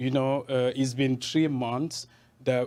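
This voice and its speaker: This is a man at medium pitch. He speaks at a moderate pace. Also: very clean recording, silent background. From Cameroon. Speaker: journalist. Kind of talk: interview. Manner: animated.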